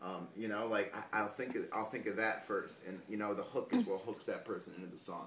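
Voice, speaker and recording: In an American accent, a man with a fairly low pitch speaks in a monotone, flat way, with audible room echo around him. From US Midwest, northeast Ohio. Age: 20s. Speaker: rapper. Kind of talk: interview. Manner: halting, many fillers.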